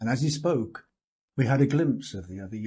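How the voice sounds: Little sound intrudes from the background, which is quiet. The delivery is a natural reading voice.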